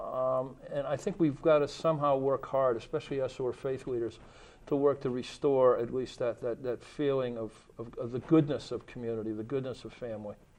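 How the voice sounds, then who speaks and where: Talking at a fairly quick pace, this man has a normal speaking voice, medium pitch and fairly even intonation. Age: 60s. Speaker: faith leader. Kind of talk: panel discussion.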